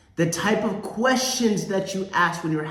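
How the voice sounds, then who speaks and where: Speech moves at a moderate pace with lively intonation. Audible room echo and noticeable background noise are present. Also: man. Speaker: sales coach. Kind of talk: motivational talk. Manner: emphatic.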